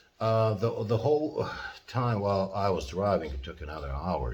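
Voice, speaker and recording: A man with a non-native accent speaks at a moderate pace, somewhat breathy, his pitch swinging very widely. Audible room echo surrounds his voice. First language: not English (English is third language). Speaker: professor. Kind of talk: lecture. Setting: at home in living room. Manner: halting, many fillers.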